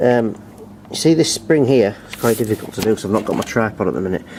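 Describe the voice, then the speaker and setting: Against noticeable background noise, a man rattles along at a very fast pace with lively intonation and a medium pitch. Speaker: lawnmower repair youtuber. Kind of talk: tutorial.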